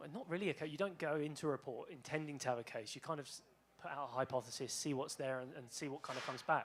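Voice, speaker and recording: Someone with a British accent talks at a very fast pace with ordinary pitch variation. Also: man, fairly high pitch for a man. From Britain. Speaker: bitcoin researcher. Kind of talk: panel talk with slides.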